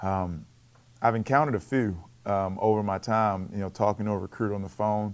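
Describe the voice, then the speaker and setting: Heard on a very clean recording with a silent background, a man with a Baltimore accent talks at a fairly quick pace, with fairly low pitch and fairly even intonation. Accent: Baltimore American English. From Baltimore, US. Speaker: college basketball coach. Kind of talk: interview on coach's show. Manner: repeats words, occasional blocks.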